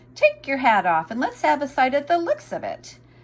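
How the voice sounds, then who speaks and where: In a put-on character voice, a woman speaks at a high pitch and a moderate pace. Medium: read story. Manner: curt, businesslike.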